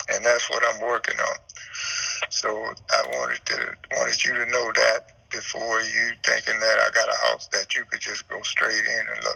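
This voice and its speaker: A man with a Louisiana accent speaks at a moderate pace, with noticeable background noise. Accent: Louisiana Southern US. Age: 70s. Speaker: home seller. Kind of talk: phone call with buyer. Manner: rambling, repetitive.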